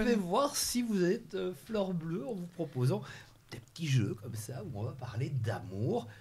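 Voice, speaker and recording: A man with a fairly high voice and vocal fry speaks at a fairly slow pace, his pitch swinging very widely. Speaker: TV show host. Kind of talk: TV quiz hosting.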